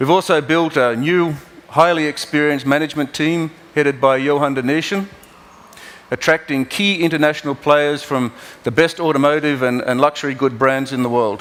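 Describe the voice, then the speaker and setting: The speaker has an Australian accent and talks at a fairly quick pace with fairly even intonation. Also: man, fairly high pitch for a man. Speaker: car company executive. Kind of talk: keynote presentation. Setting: stage at auto show. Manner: halting.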